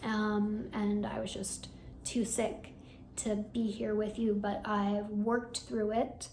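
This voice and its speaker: Fairly high-pitched, somewhat breathy woman's voice with monotone, flat intonation and audible room echo. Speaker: hypnotherapist and meditation channel creator. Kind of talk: personal vlog update. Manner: casual with fillers.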